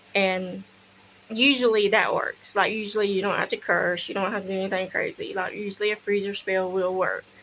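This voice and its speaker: A woman with a Southern US accent talks at a fairly quick pace in a monotone, flat intonation, with light background noise behind her. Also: medium pitch for a woman. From US South. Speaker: spiritual practice vlogger; witchcraft content creator. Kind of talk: casual tutorial; casual vlog chat. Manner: casual, with fillers and swearing. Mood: relaxed, blunt. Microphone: phone near.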